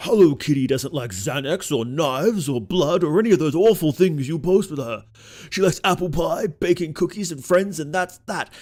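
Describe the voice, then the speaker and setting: Putting on a gruff character voice, a man speaks with a high pitch. His intonation is lively, and his pace is moderate. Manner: gruff, meant as an over-the-top macho voice but coming out as an older posh one.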